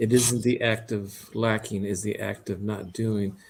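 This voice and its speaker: The speaker goes along at a very slow pace in a monotone, flat intonation. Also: man. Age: 60s. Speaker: livestream host. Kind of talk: casual chat.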